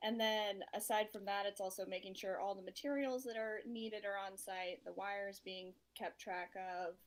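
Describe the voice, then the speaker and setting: Speaking with hardly any pauses, a woman uses an ordinary speaking voice at medium pitch with fairly even intonation. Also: moderate pace. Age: 30s. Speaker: construction project manager. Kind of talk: interview.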